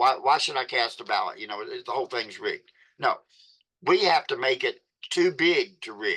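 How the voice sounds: A man's bright, sharp voice at medium pitch, slightly husky at the edge, with ordinary pitch variation and a moderate pace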